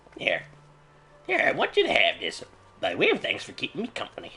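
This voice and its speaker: This is a put-on character voice pitched extremely high. It moves along at a fairly quick pace. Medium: video game. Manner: folksy, chatty.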